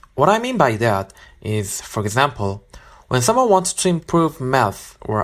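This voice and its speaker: The speaker has a Korean accent and keeps a fairly slow pace. The recording is very clean, with a silent background. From South Korea. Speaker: listener with a question. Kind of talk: recorded listener question.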